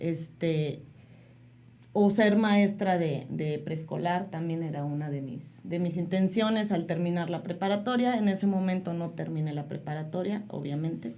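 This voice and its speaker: With audible room echo, a woman speaks at a fairly slow pace in a fairly low pitch with ordinary pitch variation. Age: 30s. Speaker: mother sharing life story. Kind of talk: interview testimony.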